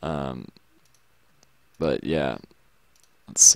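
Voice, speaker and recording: Very deep and low, this man's voice carries vocal fry and an American accent. He speaks at a very slow pace. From Texas. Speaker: graphics tutorial youtuber. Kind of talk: casual rant while working. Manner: hesitant, lots of fillers.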